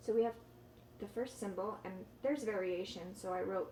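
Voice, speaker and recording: Against noticeable background noise, a woman talks in a medium pitch with a Californian accent. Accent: Californian American English. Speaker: ESL teacher. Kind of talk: tutorial.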